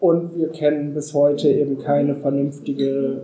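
Speaking very slowly in a flat monotone, a man with a fairly high voice is heard with audible room echo. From northern Germany (Wendland, Lower Saxony). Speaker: anti-nuclear activist. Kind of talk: public talk.

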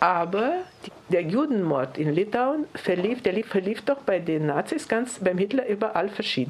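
Her pitch leaps very widely. This woman keeps a moderate speed. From Lithuania and Tajikistan. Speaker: Holocaust survivor. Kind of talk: testimony. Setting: press conference.

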